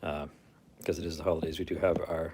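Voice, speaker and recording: A man's somewhat breathy voice at a very fast pace. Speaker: YouTuber. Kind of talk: casual chat. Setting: livestream at home.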